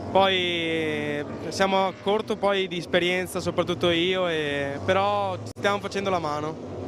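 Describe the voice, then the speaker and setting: A man talks at a high pitch with hardly any pauses and ordinary pitch variation. Noticeable background noise runs underneath. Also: moderate pace. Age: young. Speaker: racing driver. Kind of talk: post-race interview.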